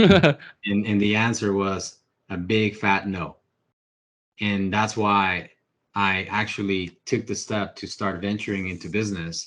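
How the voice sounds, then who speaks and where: Using a Spanish accent, a man speaks with a fairly low pitch and long, frequent pauses. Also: fairly slow pace, quiet background. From Ecuador. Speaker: real estate investor. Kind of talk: podcast interview. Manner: animated.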